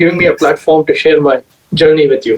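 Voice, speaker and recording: The man talks at a very fast pace. His pitch is high and his intonation fairly even. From India, Bangalore. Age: 30s. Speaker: amateur astronomer and software engineer. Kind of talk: podcast interview. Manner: hesitant, many fillers.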